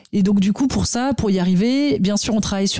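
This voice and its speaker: Her tone comes across dark and mellow. The woman is heard on a very clean recording with a silent background. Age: 30s. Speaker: nonprofit director and cofounder. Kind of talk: interview. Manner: hesitant with fillers.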